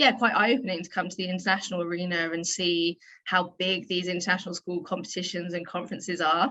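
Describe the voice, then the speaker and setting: Here is a woman with a southern English accent. Her pitch sits at a medium level. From England, near London. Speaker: PE teacher and athletics director. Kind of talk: interview.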